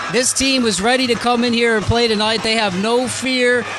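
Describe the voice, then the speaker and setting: A man talks at an extremely high pitch in a flat monotone. Noticeable background noise can be heard. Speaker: sportscaster. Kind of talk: football play-by-play.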